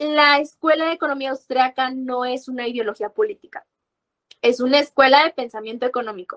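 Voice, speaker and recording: The sound is dry and close with no echo, and the pace is fairly quick. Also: woman, high pitch for a woman, ordinary pitch variation. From Mexico. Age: 20s. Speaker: university student and libertarian activist. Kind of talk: interview.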